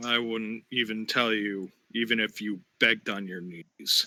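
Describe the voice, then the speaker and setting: A man speaks in a put-on character voice at a medium pitch. His pace is fairly slow and his intonation fairly even. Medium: audio drama. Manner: curt, withholding.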